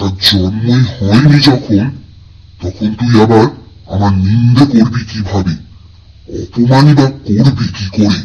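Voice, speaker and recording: A growling cartoonish character voice at a fairly slow pace. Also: man, medium pitch for a man. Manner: domineering, blustering.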